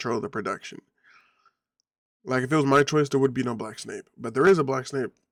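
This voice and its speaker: A man with ordinary pitch variation in a dry, close sound with no echo. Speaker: online video commentator. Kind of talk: casual opinion commentary. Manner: halting, self-correcting.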